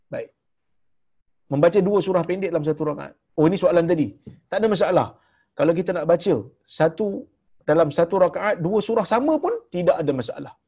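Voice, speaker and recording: A man with a Malaysian accent talks at a very fast pace with a high pitch and a dark, mellow tone. Pitch varies in an ordinary way, with long, frequent pauses. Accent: Malaysian Malay. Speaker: religious teacher. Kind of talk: lecture. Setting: online video call.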